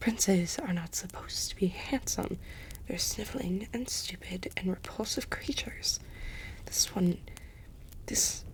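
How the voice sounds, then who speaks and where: Someone whispers at a fairly slow pace. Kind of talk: audiobook reading. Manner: whispered, soft-spoken.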